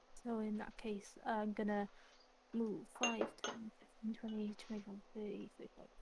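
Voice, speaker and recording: Quietly mumbling in a put-on character voice, a woman speaks at a moderate pace and fairly high pitch with monotone, flat intonation. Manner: quiet, mumbling.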